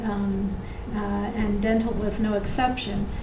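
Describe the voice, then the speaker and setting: Audible room echo and noticeable background noise fill the recording. A woman talks at a fairly slow pace. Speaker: dentist and dental program director. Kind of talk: conference talk. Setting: conference room with audience. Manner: hesitant, many fillers.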